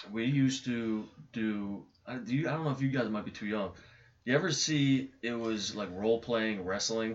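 A man uses a plain, everyday voice, talking at a moderate speed with ordinary pitch variation. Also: medium pitch for a man. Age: 30s. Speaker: former backyard wrestler. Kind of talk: casual chat.

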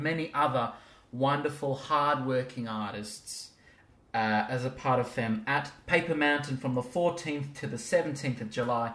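Here is a man with a normal speaking voice, pitched fairly high. He moves at a moderate pace with ordinary pitch variation. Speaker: podcast host. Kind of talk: casual interview. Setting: at guest's home.

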